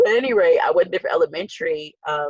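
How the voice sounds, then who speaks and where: Speaking with an American accent, a woman races along at a very fast pace. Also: dry, close sound with no echo. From Newark, New Jersey. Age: 20s. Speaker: school board member. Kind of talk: interview.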